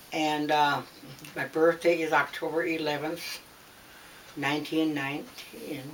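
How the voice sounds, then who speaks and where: A woman with a Wisconsin accent speaks at a fairly slow pace with a very deep, low pitch and monotone, flat intonation. Long, frequent pauses break her speech, and there is noticeable background noise. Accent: Upper Midwest US (Wisconsin). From Wisconsin, Green Bay area. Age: 90s. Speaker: interviewee recounting her life. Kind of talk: oral history interview. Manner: halting.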